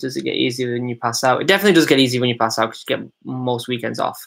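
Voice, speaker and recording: A man's medium-pitched voice in a Manchester accent. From Manchester, England. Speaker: former Royal Marine, YouTuber. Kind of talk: live stream Q&A. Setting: live stream. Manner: casual, hesitant with fillers.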